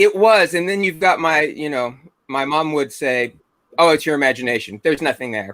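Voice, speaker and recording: His tone is bright and sharp, with fairly high pitch for a man. The intonation is lively. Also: fairly quick pace. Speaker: paranormal investigator. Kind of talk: casual chat.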